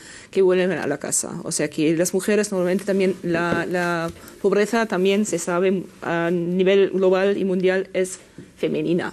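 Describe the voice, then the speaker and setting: A woman speaks at a medium pitch and moderate pace, her intonation monotone and flat. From Germany. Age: 50s. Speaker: journalist and gender consultant; journalist. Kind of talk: panel discussion. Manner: halting. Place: studio. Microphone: lapel.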